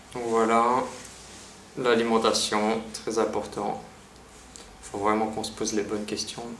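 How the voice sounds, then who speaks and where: Audible room echo and noticeable background noise surround a man speaking at a medium pitch and a fairly slow pace. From Belgium, Liège. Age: 30s. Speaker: vlogger. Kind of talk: personal vlog monologue. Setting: empty apartment. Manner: casual, hesitant with repetitions.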